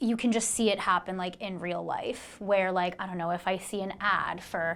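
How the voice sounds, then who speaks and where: A woman with an American accent speaks at a moderate pace in an ordinary speaking voice, medium-pitched with fairly even intonation. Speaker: life sciences recruiter. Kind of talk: casual podcast chat. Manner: casual, filler-heavy.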